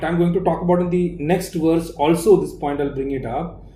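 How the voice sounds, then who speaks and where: There is audible room echo as a man speaks in a high pitch with a dark, mellow tone. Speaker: spiritual teacher. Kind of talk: lecture. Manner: slow; halting.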